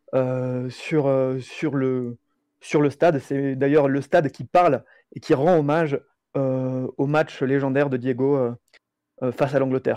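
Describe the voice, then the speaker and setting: Fairly high in pitch yet dark and mellow in tone, a man's voice moves at a fairly slow pace with monotone, flat intonation in a dry, close sound with no echo. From Mexico. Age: 20s. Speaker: Mexican football specialist. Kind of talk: casual chat.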